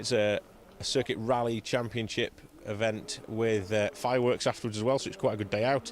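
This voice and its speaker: A man with a Cheshire accent, medium in pitch, at a moderate pace with fairly even intonation. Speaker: rally commentator. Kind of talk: live commentary. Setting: outdoors. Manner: conversational.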